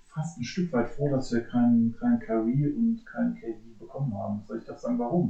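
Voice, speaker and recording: A man speaks in a somewhat breathy voice. His tone is dark and mellow, with ordinary pitch variation. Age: 40s. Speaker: police officer, basketball fan. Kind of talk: casual chat.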